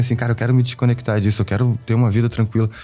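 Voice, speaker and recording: A man rattles through his words at a very fast pace while music plays in the background. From Rio de Janeiro, Brazil. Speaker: illustrator. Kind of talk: podcast interview.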